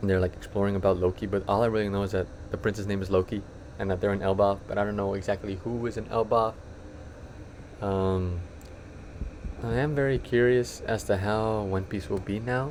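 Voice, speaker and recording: With long, frequent pauses, a man speaks fairly quickly in a fairly low voice and fairly even intonation. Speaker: anime youtuber. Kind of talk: casual monologue. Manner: fast; casual, rambling slangy delivery.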